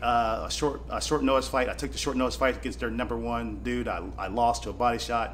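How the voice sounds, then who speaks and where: A man speaks with an American accent, with audible room echo around him. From US Midwest, small-town Kansas. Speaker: bare-knuckle fighter. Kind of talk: casual interview. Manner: animated.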